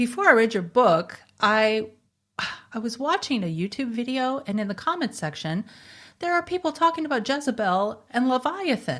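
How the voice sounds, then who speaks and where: At a moderate pace, an American accent comes through with very wide pitch swings on a very clean recording with a silent background. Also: woman, high pitch for a woman. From US South (Bible Belt). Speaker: podcast host. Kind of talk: interview.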